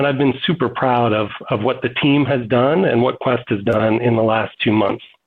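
In an unremarkable speaking voice, a man talks at a medium pitch and moderate pace, with ordinary pitch variation and very even loudness. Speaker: marketing executive. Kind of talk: panel discussion. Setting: video call.

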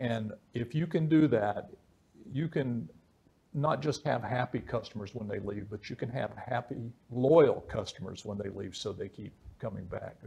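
Speaking at a moderate pace, a man with a medium pitch sounds somewhat breathy, with a dark, mellow tone and ordinary pitch variation. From West Virginia. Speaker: podcast host, leadership coach. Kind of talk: interview.

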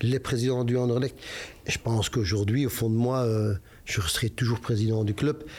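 The man's voice has a medium pitch, a dark, mellow tone, a somewhat breathy quality and fairly even intonation. It is a very clean recording with a silent background. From Belgium, Brussels (Molenbeek). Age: 50s. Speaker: football club president. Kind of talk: interview. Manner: hesitant, many repetitions.

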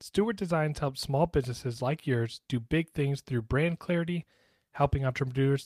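There is a somewhat breathy quality to the man's voice. His pitch varies in an ordinary way. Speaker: reptile breeder podcast host. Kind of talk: casual chat.

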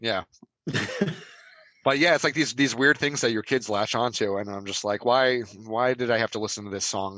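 A man at a medium pitch in a normal speaking voice, fairly quick in pace, with ordinary pitch variation. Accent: American. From New Jersey. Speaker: podcast regular. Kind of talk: casual chat.

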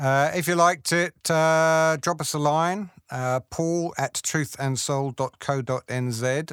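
With a New Zealand accent, a man speaks at a fairly high pitch and a fairly slow pace, with fairly even intonation and hardly any pauses. The recording is very clean and dry, close with no echo, over a silent background. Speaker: podcast host. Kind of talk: casual interview. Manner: jokey, teasing.

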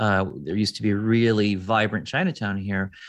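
The speaker talks at a moderate pace with an American accent and fairly even intonation against a quiet background. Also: man. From US Midwest, Detroit. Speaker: food futurist. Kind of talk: interview.

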